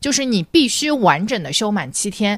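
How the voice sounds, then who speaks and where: A woman speaks in an animated tone. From Shanghai, China. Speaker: consumer brand marketer. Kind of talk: casual chat.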